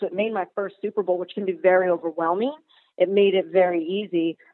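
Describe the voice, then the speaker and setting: An unremarkable speaking voice with an American accent. The pace is moderate and the intonation fairly even. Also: woman. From Maryland. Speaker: sports broadcaster. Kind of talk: casual chat.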